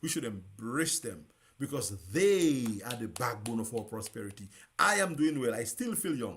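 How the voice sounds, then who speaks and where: A man's somewhat breathy, medium-pitched voice with an animated tone at a moderate pace. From Dominica. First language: Dominican Creole. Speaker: radio host. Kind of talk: live talk show monologue. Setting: live broadcast.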